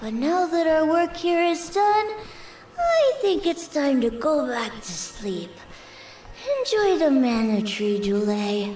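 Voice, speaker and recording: Over clear background noise, a put-on character voice rings out at a high pitch with very wide pitch swings. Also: fairly slow pace. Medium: video game. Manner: soft, gentle.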